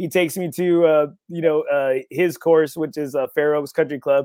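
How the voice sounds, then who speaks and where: At a fairly quick pace, a man with an American accent and a fairly high pitch speaks in an unremarkable speaking voice. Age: 40s. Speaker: golf podcast host. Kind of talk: casual interview chat. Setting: on a golf course.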